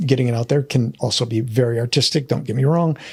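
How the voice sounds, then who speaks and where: A man with an American accent speaks at a medium pitch, somewhat breathy, with fairly even intonation. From United States. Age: 60s. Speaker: painter and art school founder. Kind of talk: casual chat. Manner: halting.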